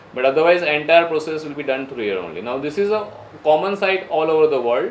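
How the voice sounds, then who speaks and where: A man with an Indian accent talks at a very fast pace in a fairly high voice with ordinary pitch variation. Audible room echo and noticeable background noise fill the recording. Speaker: visa counselor teaching students. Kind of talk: classroom lecture.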